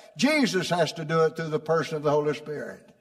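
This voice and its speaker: A man speaks in an animated, warm tone over noticeable background noise. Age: 80s. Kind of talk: sermon. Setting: church. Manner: animated, warm, homely, with call-and-response; prompting the congregation, laughs often.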